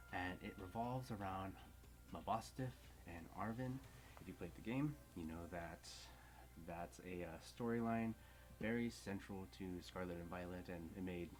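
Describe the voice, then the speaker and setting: Whispering and soft-spoken, a man talks at a moderate pace with long, frequent pauses and audible room echo. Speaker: card game content creator. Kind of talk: tutorial. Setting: at home. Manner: whispering softly.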